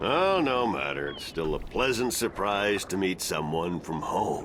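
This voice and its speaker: A gruff put-on character voice comes at a moderate pace over clear background noise. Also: man, fairly low pitch for a man. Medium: video game. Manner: gruff, swearing, laughing.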